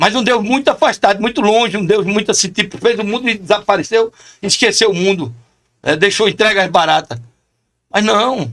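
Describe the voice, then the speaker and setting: At a moderate pace, a man speaks in an animated tone with a high pitch and ordinary pitch variation. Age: 60s. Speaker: chaplain. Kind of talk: podcast interview.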